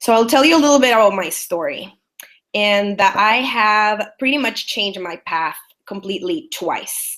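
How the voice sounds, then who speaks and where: A woman speaks with a Salvadoran accent at a fairly high pitch. Her intonation is lively, and her pace is moderate. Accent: Salvadoran Spanish accent, obvious. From El Salvador. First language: Spanish. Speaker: business strategist. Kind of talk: webinar presentation. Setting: online webinar.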